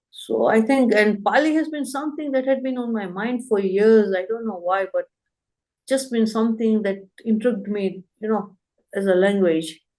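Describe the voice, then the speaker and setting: At a moderate pace, a woman talks in a dark, mellow tone with ordinary pitch variation. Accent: Gujarati. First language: Gujarati. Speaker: language course student. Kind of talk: interview testimonial.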